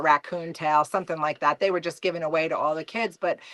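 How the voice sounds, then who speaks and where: A very fast voice in a New Jersey accent, with a dry, close sound with no echo and a quiet background. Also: woman. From New Jersey, US. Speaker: trapper, mother. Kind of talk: casual podcast interview.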